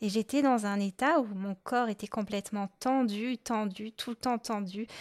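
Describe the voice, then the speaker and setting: A woman's fairly high-pitched voice at a moderate pace, dry and close with no echo, on a very clean recording with a silent background. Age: adult. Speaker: podcast host, adult-beginner clarinettist. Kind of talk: solo podcast monologue. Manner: hesitant, many fillers.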